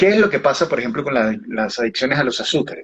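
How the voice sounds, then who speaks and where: His pitch rises and falls very widely. He keeps a fairly quick pace. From Uruguay, Montevideo. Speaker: author and biodecoding therapist. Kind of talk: interview.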